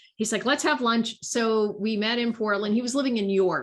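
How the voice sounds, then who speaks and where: A woman talks at a moderate speed in a very clean recording with a silent background. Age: 60s. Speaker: workplace designer and author. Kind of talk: casual interview chat.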